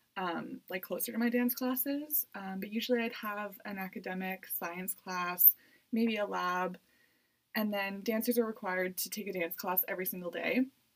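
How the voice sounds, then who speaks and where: In a Canadian accent, a woman uses an ordinary speaking voice at medium pitch, with ordinary pitch variation and a moderate pace. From Canada, Edmonton, Alberta. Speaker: university student and dancer. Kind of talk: interview. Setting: studio.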